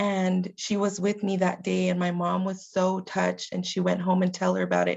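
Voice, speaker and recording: A woman at a moderate pace, with very even loudness and hardly any pauses. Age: 30s. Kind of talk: webinar presentation.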